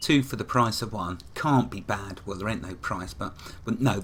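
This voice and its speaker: A man with a plain, everyday voice speaks at a moderate pace, his fairly low pitch carried by lively intonation. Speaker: game tutorial narrator. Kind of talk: casual, chatty explanation.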